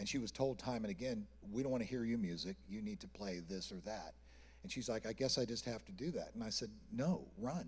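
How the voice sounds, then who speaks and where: Fairly quick, lively speech from a man at a medium pitch, with vocal fry. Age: 60s. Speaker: artist manager. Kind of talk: panel discussion.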